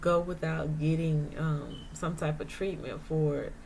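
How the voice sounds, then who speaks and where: With audible room echo around her, a woman speaks at a very slow pace in a somewhat breathy voice. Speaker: vlogger sharing her chronic illness experience. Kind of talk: casual monologue vlog. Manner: hesitant, many fillers.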